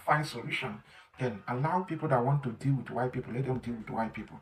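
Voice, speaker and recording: The speaker here is a man. A somewhat breathy quality runs through his voice. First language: not English. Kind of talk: opinion monologue.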